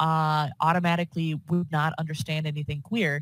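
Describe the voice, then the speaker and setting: On a very clean recording with a silent background, a woman with a fairly low pitch speaks fairly quickly and somewhat breathily. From US suburbs. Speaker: podcast host. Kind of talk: casual interview chat.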